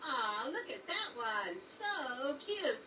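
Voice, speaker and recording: A cartoonish character voice, high-pitched with very wide pitch swings, over clear background noise. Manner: excitable, easily distracted.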